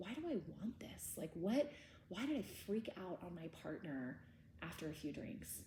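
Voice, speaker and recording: Audible room echo around a somewhat breathy woman's voice with very wide pitch swings. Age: 30s. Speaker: trauma workshop teacher. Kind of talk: lecture. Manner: casual.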